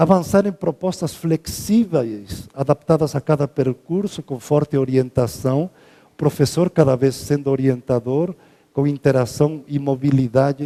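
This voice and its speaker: The voice has a dark, mellow tone with ordinary pitch variation and big swings in loudness, delivered at a fairly slow pace. The sound is dry and close, with no echo. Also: man, fairly high pitch for a man. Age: 60s. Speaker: professor. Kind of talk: lecture.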